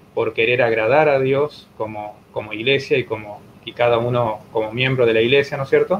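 Over noticeable background noise, a man talks at a moderate pace at a medium pitch with ordinary pitch variation. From Argentina, Entre Ríos. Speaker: pastor, church president. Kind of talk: interview, religious teaching. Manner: halting, many repetitions and fillers.

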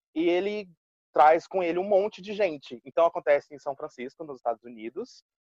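With lively intonation and a high pitch, a man talks at a fairly quick pace in a dry, close recording with no echo. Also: big swings in loudness. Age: 20s. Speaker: English teacher. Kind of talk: casual chat.

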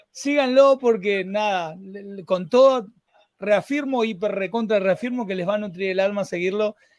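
In a Rioplatense accent, a man talks at a high pitch for a man and a moderate pace. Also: ordinary pitch variation. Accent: Argentine Spanish (rioplatense). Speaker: podcast host. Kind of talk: interview conversation. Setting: live stream. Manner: animated.

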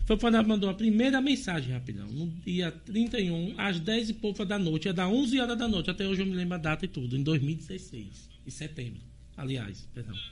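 A man speaks at a high pitch with very wide pitch swings and hardly any pauses. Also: moderate pace. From Sergipe, Brazil (village near Tobias Barreto). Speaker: local politician and community health worker. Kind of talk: interview on live podcast.

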